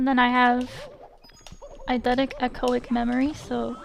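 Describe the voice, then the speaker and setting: A woman speaks at a high pitch in a monotone, flat way. Noticeable background noise can be heard. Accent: American. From USA. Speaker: video game streamer. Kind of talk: casual live stream chat.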